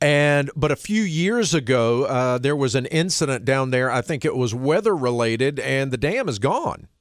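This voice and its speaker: A man with a Southern US accent, fairly high pitch, lively intonation, a moderate pace, hardly any pauses and very even loudness. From US South, North Carolina (Knightdale, Wake County). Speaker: radio host. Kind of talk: radio interview. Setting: studio.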